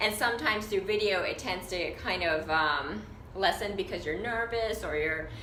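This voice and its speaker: Heard over noticeable background noise and audible room echo, a woman with a medium pitch speaks at a moderate pace with ordinary pitch variation. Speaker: fashion designer and business coach. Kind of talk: casual vlog tutorial. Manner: hesitant with fillers.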